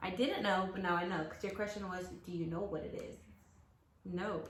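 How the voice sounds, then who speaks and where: A woman with a medium pitch talks at a fairly slow pace and fairly even intonation, with audible room echo and noticeable background noise. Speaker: youtuber. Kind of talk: casual chat.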